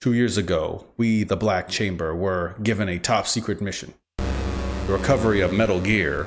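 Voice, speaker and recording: Putting on a character voice, a man speaks at a very deep, low pitch with lively intonation, keeping a moderate pace with hardly any pauses. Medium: game stream. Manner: cold, mocking.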